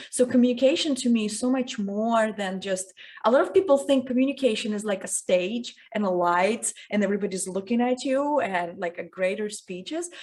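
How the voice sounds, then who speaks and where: A woman with a non-native accent speaks at a fairly quick pace in a fairly high pitch. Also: ordinary pitch variation. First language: not English. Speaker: communication coach. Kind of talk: interview.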